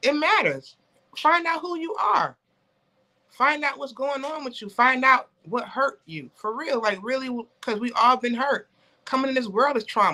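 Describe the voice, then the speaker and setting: The voice is raised and projected, with a bright, sharp tone. Its delivery is animated, with lively intonation. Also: woman, high pitch for a woman. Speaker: author and business founder. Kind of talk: casual interview chat. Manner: fast.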